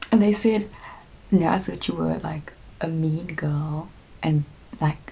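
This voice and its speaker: This woman's pitch sits very deep and low, and her delivery runs fairly slow. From South Africa, Cape Town. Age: 20s. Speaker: YouTuber. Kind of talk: casual chat.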